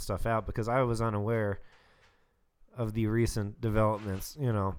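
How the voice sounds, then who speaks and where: A man's medium-pitched, unremarkable speaking voice, on a very clean recording with a silent background. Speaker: podcast guest. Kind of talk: casual chat.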